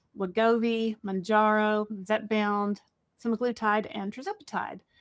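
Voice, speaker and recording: The recording is very clean, with a silent background and a dry, close sound with no echo. It carries an unremarkable speaking voice at a moderate pace. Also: woman. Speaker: podcast host. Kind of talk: podcast intro.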